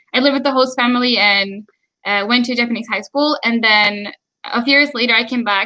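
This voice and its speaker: A woman with an American accent speaks at a fairly high pitch. Her tone is bright and sharp, with ordinary pitch variation. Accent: American-sounding English. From Sweden. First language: Swedish. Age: 20s. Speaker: YouTuber. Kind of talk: live stream chat. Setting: live stream. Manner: hesitant with fillers.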